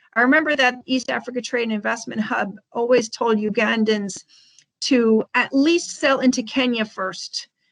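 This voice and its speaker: A woman with an American accent speaks at a moderate pace in a plain, everyday voice, fairly high in pitch with ordinary pitch variation. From United States. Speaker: food exporter, company director. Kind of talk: webinar presentation.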